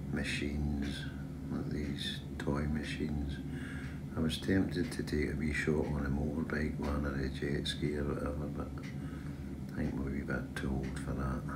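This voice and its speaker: The speech moves at a moderate pace. Loud background noise runs underneath. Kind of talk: casual vlog chat. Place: boat. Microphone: phone near.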